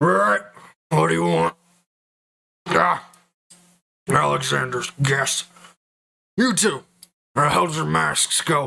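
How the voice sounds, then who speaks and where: In a put-on character voice that is raspy and pitched low-to-middle, the speaker moves at a fairly slow pace with long, frequent pauses and very wide pitch swings. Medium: actual play. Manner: gruff, threatening.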